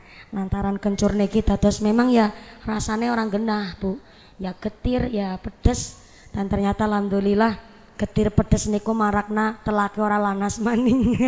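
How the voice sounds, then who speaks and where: A woman's medium-pitched voice at a moderate pace, flat and monotone in intonation. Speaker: preacher. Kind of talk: humorous sermon.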